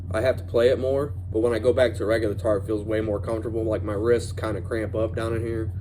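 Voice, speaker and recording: A man at a very fast pace with hardly any pauses, fairly low in pitch, fairly even in intonation, with audible room echo. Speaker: guitar reviewer. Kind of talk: casual product review. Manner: halting, many fillers and restarts.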